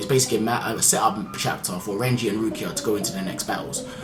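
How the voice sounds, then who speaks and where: Very fast speech from a man at medium pitch, with noticeable background noise and audible room echo. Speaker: anime manga reviewer. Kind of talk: video review monologue. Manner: casual with fillers.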